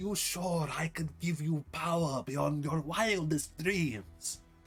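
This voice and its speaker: A man's put-on character voice, fairly high-pitched and fairly slow, with hissing and clear music in the background. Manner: hissing, menacing.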